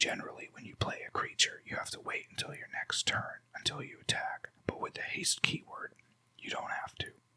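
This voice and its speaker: Someone whispers with big swings in loudness. Noticeable background noise runs throughout. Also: man. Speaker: ASMR creator. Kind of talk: ASMR deck walkthrough. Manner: slow, relaxed, conversational.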